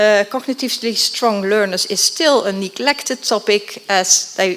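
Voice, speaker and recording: Amid noticeable background noise, a woman with a Dutch accent speaks fairly slowly in a fairly high pitch with lively intonation. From Netherlands. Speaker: education researcher. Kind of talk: conference presentation.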